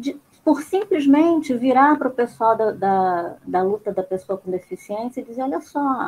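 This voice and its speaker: Her voice is high and sweeps through very wide pitch swings. The woman keeps a fairly slow pace with hardly any pauses. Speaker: mental health activist. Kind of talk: casual discussion. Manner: loud, forceful; animated.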